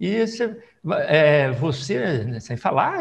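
A man's voice carries vocal fry and swings very widely in pitch. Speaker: politician, federal deputy. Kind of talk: oral history interview. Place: home room. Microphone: lapel.

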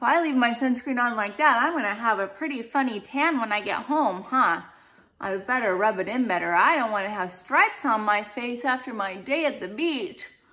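Against a quiet background, a woman with a high pitch speaks at a moderate pace. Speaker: teacher. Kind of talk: playful lesson talk to children. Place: kitchen. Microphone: phone near.

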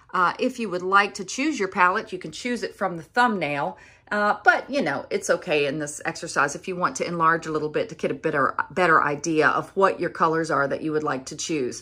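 Against a quiet background, a woman talks in a plain, everyday voice at a fairly quick pace with hardly any pauses and big swings in loudness. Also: fairly low pitch for a woman. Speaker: pastel art teacher. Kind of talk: tutorial. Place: workshop. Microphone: phone near.

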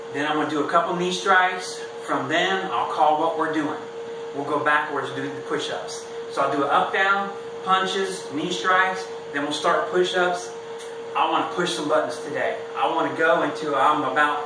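Moderate pace from a man, amid noticeable background noise and audible room echo. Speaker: presenter. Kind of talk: workout instruction. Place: garage. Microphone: camera far.

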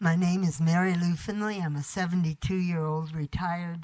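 Speaking at a moderate pace, a woman with a fairly low pitch keeps her intonation fairly even and sounds somewhat breathy. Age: 70s. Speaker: retired school aide, activist. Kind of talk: public comment at city council. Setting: city council chamber.

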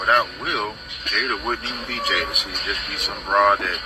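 Moderately paced male speech over background music. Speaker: social media commentator. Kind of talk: casual vlog commentary. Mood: indignant, critical. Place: gym. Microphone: phone near.

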